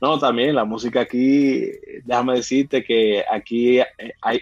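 The speaker talks in a Dominican accent with monotone, flat intonation. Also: man. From Dominican Republic, Puerto Plata. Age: 30s. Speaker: surgeon. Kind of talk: casual interview.

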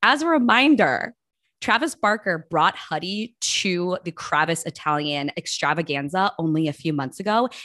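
A woman's fairly low voice, an unremarkable speaking voice, with lively intonation at a moderate pace, dry and close with no echo over a quiet background. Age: 30s. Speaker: podcast co-host and lifestyle blogger. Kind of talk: casual chat.

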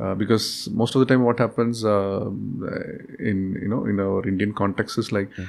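A man's fairly low voice at a moderate pace, fairly even in intonation, with noticeable background noise. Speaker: startup CEO. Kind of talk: interview. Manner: hesitant, many fillers.

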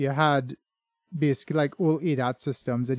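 Here is a man with a normal speaking voice, medium in pitch and moderate in pace, his intonation fairly even. The recording is very clean, with a silent background and a dry, close sound with no echo. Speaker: podcast host. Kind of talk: casual interview. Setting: home studio, live conversation.

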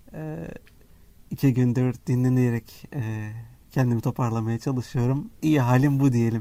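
Fairly slowly, a man talks in a dark, mellow tone. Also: medium pitch for a man, ordinary pitch variation. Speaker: app developer and co-host. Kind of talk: casual chat.

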